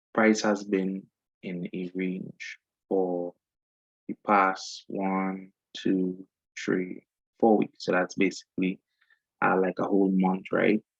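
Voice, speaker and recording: Spoken at a very slow pace with a Trinidadian accent, the voice has a dry, close sound with no echo. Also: man. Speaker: forex trader. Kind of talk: screen-share tutorial. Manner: casual, many fillers.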